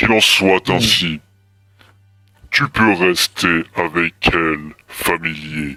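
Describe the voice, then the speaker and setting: A man does a put-on character voice at a very deep, low pitch and a very slow pace. Long, frequent pauses break it up, with faint music in the background. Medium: actual play. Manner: formal, archaic, solemn.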